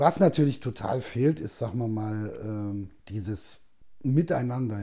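A man talks with a dark, mellow tone, somewhat breathy and medium in pitch. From Saxony-Anhalt, eastern Germany (Zeitz). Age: 40s. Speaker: actor. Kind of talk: casual chat.

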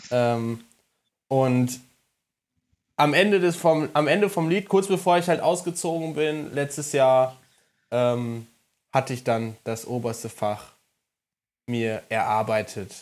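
A very slow, medium-pitched male voice with lively intonation and long, frequent pauses, on a very clean recording with a silent background. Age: 20s. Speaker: podcast co-host, former flatmate. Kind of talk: casual chat.

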